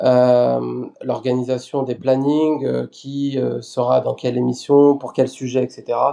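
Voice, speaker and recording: At a very slow pace, a man speaks with hardly any pauses. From France, Lyon. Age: 30s. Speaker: web TV editorial chief. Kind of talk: podcast interview.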